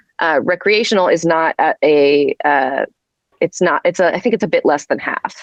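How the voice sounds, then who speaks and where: A woman speaks at a moderate pace. Her loudness stays very even throughout. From rural Virginia, US South. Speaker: policy consultant. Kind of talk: podcast interview.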